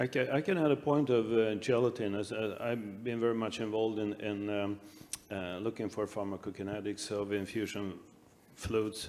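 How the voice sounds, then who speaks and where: Speaking at a moderate pace, a man with a Swedish accent uses a medium pitch. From Sweden. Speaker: anaesthesia researcher. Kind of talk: panel discussion. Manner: halting.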